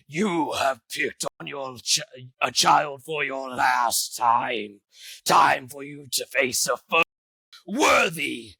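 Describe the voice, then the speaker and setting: A man uses a raspy, put-on character voice at a fairly high pitch. He speaks at a very slow pace. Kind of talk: archaic, declamatory. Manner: menacing, theatrical.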